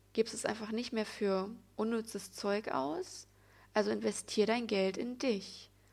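With a normal speaking voice, a woman talks at a moderate pace in a fairly high pitch and fairly even intonation, recorded very cleanly over a silent background. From Germany, Sauerland (Altena). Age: 20s. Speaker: podcaster, spiritual and yoga coach. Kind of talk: personal monologue podcast.

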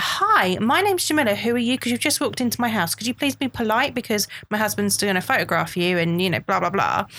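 Speaking very fast with hardly any pauses, a woman uses lively intonation at a fairly high pitch over noticeable background noise. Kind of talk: casual interview chat.

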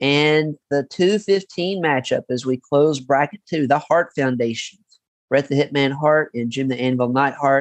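A man speaks with a Southern US accent at a fairly high pitch. His pitch varies in an ordinary way, and the sound is dry and close with no echo. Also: fairly slow pace. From Kentucky (Paducah). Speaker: podcast host. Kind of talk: interview and casual chat.

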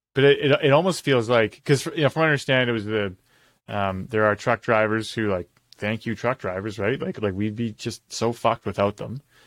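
A man with a medium pitch and ordinary pitch variation talks at a fairly quick pace, with a plain, everyday voice. The recording is very clean and dry, close with no echo, and the background is silent. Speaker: podcast host. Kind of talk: casual chat. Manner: joking.

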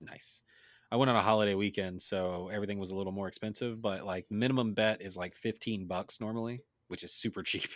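Fairly even intonation and a fairly quick pace from an ordinary speaking voice. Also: man, fairly low pitch for a man. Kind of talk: casual banter.

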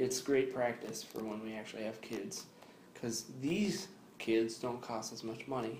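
Somewhat breathy, a man at medium pitch talks at a moderate pace with ordinary pitch variation and audible room echo. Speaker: podcast co-host. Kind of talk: casual chat.

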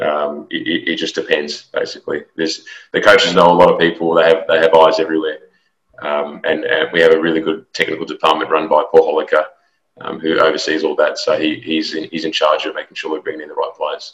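Speech comes at a very fast pace. It is delivered in an Australian accent. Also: man. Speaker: football strength and conditioning coach. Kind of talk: interview. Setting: call.

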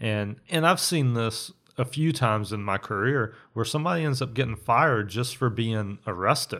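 Against a silent background on a very clean recording, a man with a Southern US accent speaks in a bright, sharp tone with hardly any pauses. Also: medium pitch for a man, ordinary pitch variation, moderate pace. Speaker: podcast co-host. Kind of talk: casual chat. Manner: loud.

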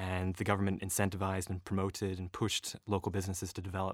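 A man with an American accent, very fast and monotone at a very deep, low pitch, in a very clean recording with a silent background. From Northern California and northeast Scotland. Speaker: renewable energy researcher and rower. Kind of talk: casual interview conversation. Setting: studio.

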